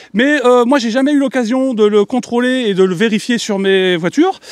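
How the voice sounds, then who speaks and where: A man's extremely high-pitched voice with ordinary pitch variation, dry and close with no echo, over noticeable background noise. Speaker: YouTuber, electric car channel host. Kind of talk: casual presentation to camera with group. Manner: loud, expressive.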